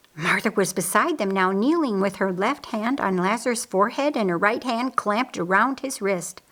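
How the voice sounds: The intonation is lively. The tone comes across fairly bright. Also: woman, medium pitch for a woman, moderate pace.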